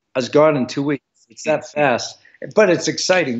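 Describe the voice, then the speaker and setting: A man with a normal speaking voice talks at a fairly high pitch and moderate pace, with ordinary pitch variation. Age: 60s. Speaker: retired Navy SEAL and author. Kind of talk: interview.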